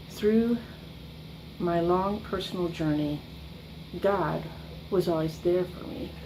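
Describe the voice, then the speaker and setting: A woman speaks at a very slow, fairly low-pitched, fairly even delivery, with long, frequent pauses. Audible room echo and noticeable background noise fill the recording. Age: 60s. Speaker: church member giving testimony. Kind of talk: testimony. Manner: halting, with frequent ums.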